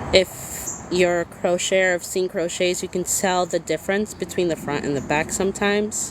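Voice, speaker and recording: A woman at medium pitch with fairly even intonation, moderate pace and hardly any pauses, over noticeable background noise. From Massachusetts, US. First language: Spanish. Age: 30s. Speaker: crochet crafter and small business owner. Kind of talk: casual livestream chat. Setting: livestream.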